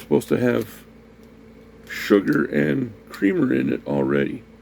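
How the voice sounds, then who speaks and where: This voice has vocal fry and very wide pitch swings. The pace is moderate. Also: man, fairly low pitch for a man. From US, raised in a Puerto Rican neighborhood. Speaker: food review vlogger. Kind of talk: casual talk to camera, food tasting.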